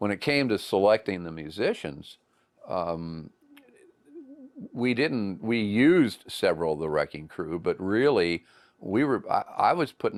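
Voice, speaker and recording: The recording is very clean, with a silent background. A man talks at a moderate pace in a fairly low pitch, with lively intonation. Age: 60s. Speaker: former country DJ and singer, documentary interviewee. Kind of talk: interview. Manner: hesitant, many fillers.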